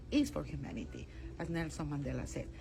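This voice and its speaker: A woman speaks with a Spanish accent. Audible room echo surrounds her voice. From Peru. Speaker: international court judge. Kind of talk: interview. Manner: halting, with frequent fillers and repetitions.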